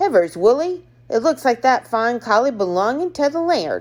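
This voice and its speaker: In a very clean recording with a silent background, a woman uses a put-on character voice at a high pitch and a moderate pace. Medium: read story. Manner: eager, quick.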